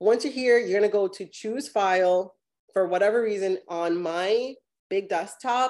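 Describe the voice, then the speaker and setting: Here a woman speaks in an American accent. Her pitch is medium and her pace fairly slow. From US South, Miami. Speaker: podcast host. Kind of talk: interview and live demonstration.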